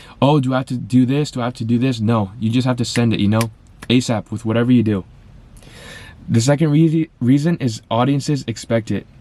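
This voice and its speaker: At a fairly quick pace, a man speaks in an animated tone at a medium pitch with ordinary pitch variation. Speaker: business content creator. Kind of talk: motivational talk. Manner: fast.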